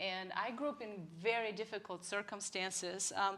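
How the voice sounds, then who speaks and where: A woman speaks at a moderate pace with a Bulgarian accent. Her tone is bright and sharp, and her intonation stays flat and monotone. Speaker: church member sharing testimony. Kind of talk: testimony. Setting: live church broadcast.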